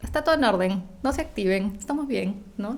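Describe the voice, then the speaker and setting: In a room with audible echo, a woman speaks at a medium pitch in a dark, mellow, somewhat breathy tone. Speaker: nutritionist. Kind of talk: interview. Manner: fast.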